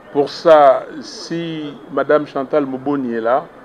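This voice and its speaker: A man with a Congolese accent and fairly even intonation against noticeable background noise. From DR Congo, Kinshasa. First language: Lingala (speaking French). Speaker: opposition politician. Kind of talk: press conference.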